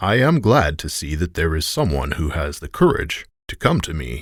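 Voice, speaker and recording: In a booming, put-on character voice, a man speaks at a moderate pace with a very deep, low pitch and lively intonation, recorded very cleanly against a silent background. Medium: read story. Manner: commanding, loud.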